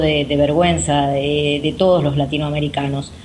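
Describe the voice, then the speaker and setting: Noticeable background noise fills the recording. Over it, a woman talks fairly slowly. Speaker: radio co-host. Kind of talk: radio interview.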